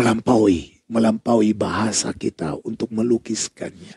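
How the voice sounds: A man's fairly low, slightly mellow voice with a husky, rough edge and vocal fry, at a fairly slow pace, in a dry, close sound with no echo.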